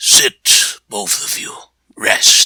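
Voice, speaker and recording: A man's raspy, put-on character voice. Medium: read story. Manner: measured, wise.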